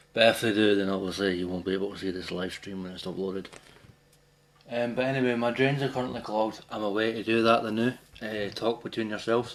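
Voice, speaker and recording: The speech comes at a very fast pace with fairly even intonation. Noticeable background noise runs underneath. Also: man, fairly low pitch for a man. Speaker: gaming streamer. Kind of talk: casual live stream chat. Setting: at home, bathroom.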